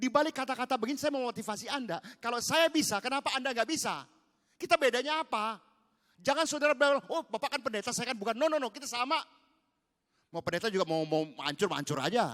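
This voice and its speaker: With an extremely high pitch, a bright, sharp tone and very wide pitch swings, a man speaks in an animated tone at a very fast pace, the sound dry and close with no echo. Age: 70s. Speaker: pastor. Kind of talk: sermon.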